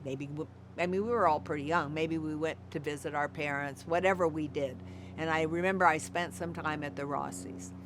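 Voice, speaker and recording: With vocal fry and very wide pitch swings, this speaker moves at a fairly quick pace in an American accent. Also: woman, very deep, low pitch for a woman. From California. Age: 70s. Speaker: former commune member. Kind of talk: oral history interview. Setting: at her home.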